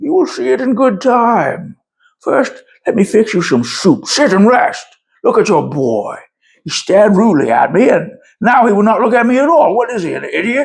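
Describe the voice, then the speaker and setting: A man's put-on character voice at an extremely high pitch, delivered at a moderate pace. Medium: read story. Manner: gruff, rude, irritable.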